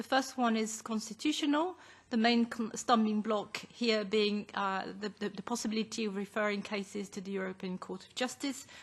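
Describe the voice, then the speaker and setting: A somewhat breathy woman's voice, fairly high in pitch, at a moderate pace with ordinary pitch variation. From France. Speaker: advocacy group co-founder. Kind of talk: formal presentation. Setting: parliamentary committee hearing. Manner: formal.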